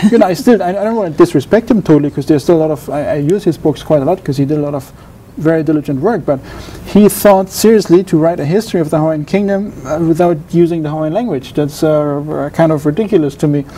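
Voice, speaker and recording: A very fast delivery in a German accent over noticeable background noise. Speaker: doctoral researcher in Pacific history. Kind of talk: interview. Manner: halting, many repetitions and false starts.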